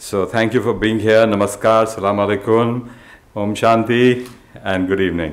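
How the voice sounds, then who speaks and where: Audible room echo surrounds a man's voice. He speaks at a moderate pace with a fairly low pitch. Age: 60s. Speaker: institute founder and director. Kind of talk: welcome speech.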